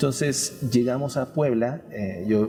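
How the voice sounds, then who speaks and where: With noticeable background noise around him, a man talks at a medium pitch that varies in an ordinary way. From Mexico, Yucatán (Mérida). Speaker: painter. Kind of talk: interview.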